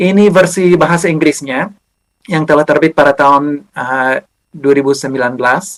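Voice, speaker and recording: Delivered with an English accent, the speech keeps a moderate pace and fairly even intonation. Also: man. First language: English (speaking Indonesian). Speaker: historian, university lecturer. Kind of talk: lecture. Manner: halting, many fillers.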